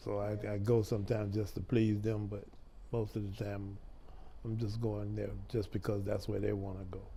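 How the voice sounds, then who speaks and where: Somewhat breathy with a dark, mellow tone, the voice moves at a moderate pace. Its intonation is monotone and flat, and audible room echo surrounds it. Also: man. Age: 70s. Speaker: grandfather of adopted children. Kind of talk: interview. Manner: halting.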